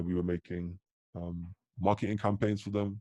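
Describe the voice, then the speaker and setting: A man with a British accent speaks at a moderate pace in a very deep, low voice with a dark, mellow tone. His intonation is monotone and flat, and the sound is dry and close with no echo. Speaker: crypto merch designer and advisor. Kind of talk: casual interview chat.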